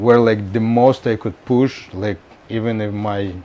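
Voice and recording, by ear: This man's fairly low voice has a dark, mellow tone, moving at a fairly slow pace with fairly even intonation.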